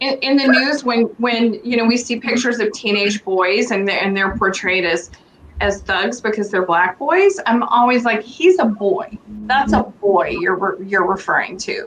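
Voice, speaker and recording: Lively intonation at a fairly slow pace, over noticeable background noise. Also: woman, fairly high pitch for a woman. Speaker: guest. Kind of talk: casual chat. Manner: loud.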